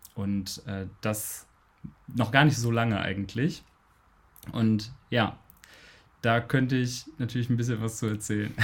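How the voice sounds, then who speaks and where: Somewhat breathy and medium in pitch, a man speaks at a fairly slow pace with fairly even intonation and long, frequent pauses. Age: 20s. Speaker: bisexuality and polyamory activist. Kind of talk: casual interview.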